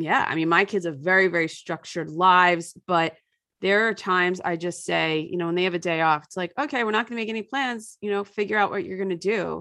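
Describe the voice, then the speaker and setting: Against a quiet background, a woman with an American accent speaks at a fairly quick pace in a medium pitch, her tone bright and sharp, with ordinary pitch variation. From US suburbs. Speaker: author and environmental parenting writer. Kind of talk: casual interview chat.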